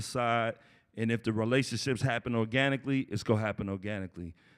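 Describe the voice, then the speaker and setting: Here a man talks in an American accent at a medium pitch. The background is silent in a very clean recording. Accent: noticeable accent, by others. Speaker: graduate student. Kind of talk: panel discussion. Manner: casual.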